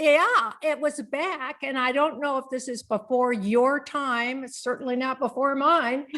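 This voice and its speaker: Over noticeable background noise, a woman with an American accent projects her high-pitched, raised voice at a fairly slow pace, hardly pausing at all. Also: fairly even intonation. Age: 70s. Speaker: author on aging, former voice talent. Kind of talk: interview. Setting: podcast interview.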